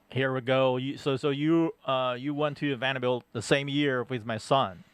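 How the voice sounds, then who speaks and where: A normal speaking voice with fairly even intonation at a moderate pace. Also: man, medium pitch for a man. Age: 60s. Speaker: guest co-host of sports talk show. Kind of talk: casual chat. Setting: studio.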